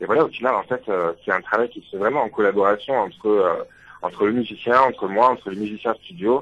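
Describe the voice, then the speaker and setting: Delivered at a fairly quick pace, the man's speech shows ordinary pitch variation. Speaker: singer-songwriter. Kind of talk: radio interview. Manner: hesitant, many fillers.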